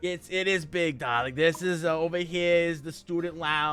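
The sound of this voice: A man puts on a raspy character voice with a high pitch. He keeps a moderate pace and fairly even intonation. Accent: New York.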